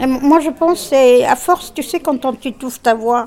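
Speaking at a fairly slow pace, a woman talks in a high pitch. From Tunisia. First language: Arabic (speaking French). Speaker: discussion group participant. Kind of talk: group discussion.

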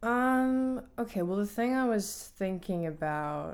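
In a room with audible echo, a woman speaks at a very slow pace with lively intonation. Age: 20s. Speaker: college student and choreographer. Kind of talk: casual chat.

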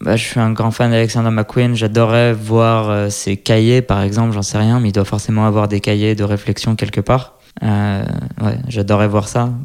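The delivery is monotone and flat at a moderate pace. Loudness stays very even throughout. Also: man, fairly low pitch for a man. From France, Lyon. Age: 30s. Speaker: fashion designer. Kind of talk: interview. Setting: designer's workshop. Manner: hesitant, many fillers.

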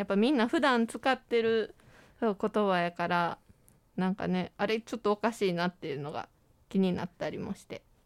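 At a moderate pace and medium pitch, a woman speaks with lively intonation and big swings in loudness, on a very clean recording with a silent background and a dry, close sound with no echo. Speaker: university broadcasting student, scriptwriter. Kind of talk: casual chat. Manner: animated.

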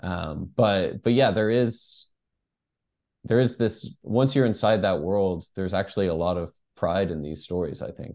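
An unremarkable speaking voice from a man, fairly low in pitch, at a fairly slow pace with ordinary pitch variation against a quiet background. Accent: American. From Texas (Dallas). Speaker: journalist and author. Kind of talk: interview.

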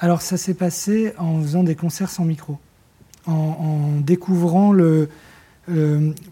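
Very slowly and with long, frequent pauses, a man with a high pitch talks in fairly even intonation. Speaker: singer-songwriter and record producer. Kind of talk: casual interview. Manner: halting.

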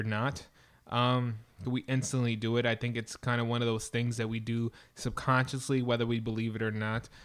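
A man is talking in a medium-pitched voice. Everything is very clean, and the background is silent. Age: 20s. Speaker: podcast host. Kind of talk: solo monologue podcast. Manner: many fillers and hesitations.

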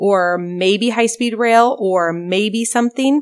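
A woman with an American accent speaks in a normal speaking voice at a fairly high pitch and fairly slow pace, on a very clean recording with a silent background. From rural Oregon (Albany area). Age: 40s. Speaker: state legislator. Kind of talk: interview. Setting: on a farm.

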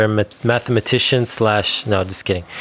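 Over noticeable background noise, a man speaks in a medium pitch with monotone, flat intonation. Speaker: podcast host. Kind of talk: interview conversation.

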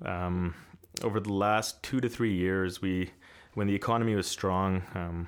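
A man speaks fairly low in pitch with ordinary pitch variation. The recording is very clean, with a silent background. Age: 30s. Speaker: commercial real estate broker. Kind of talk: interview. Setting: studio. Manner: hesitant, many fillers.

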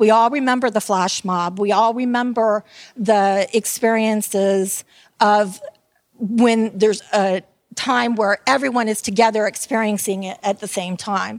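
An ordinary speaking voice, delivered at a fairly slow pace with fairly even intonation. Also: woman, fairly high pitch for a woman. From Tampa, Florida. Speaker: retired theme park entertainment director. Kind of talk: conference talk. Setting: stage with audience.

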